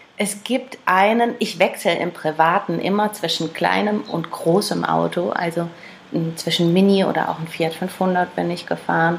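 With noticeable background noise, a woman talks at a fairly slow pace and a fairly low pitch, showing ordinary pitch variation. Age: 30s. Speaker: classic car dealer. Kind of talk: casual interview chat.

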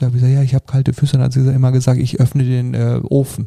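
Somewhat breathy, a man speaks at a very fast pace in a dark, mellow tone. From Germany, Sauerland. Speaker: happiness coach. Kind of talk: podcast interview. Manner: animated.

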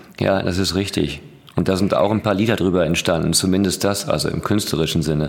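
A man's very deep, low voice at a fairly quick pace, very even in loudness with fairly even intonation, plus audible room echo and noticeable background noise. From Ruhr area, Germany. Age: young. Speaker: podcast host. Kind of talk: casual interview. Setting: studio.

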